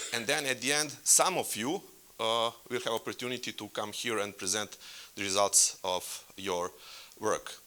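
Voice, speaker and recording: A man speaks in a Serbian accent with a bright, sharp tone at medium pitch. The recording is very clean, with a silent background. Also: ordinary pitch variation, moderate pace. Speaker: workshop facilitator. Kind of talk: conference workshop presentation. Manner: halting.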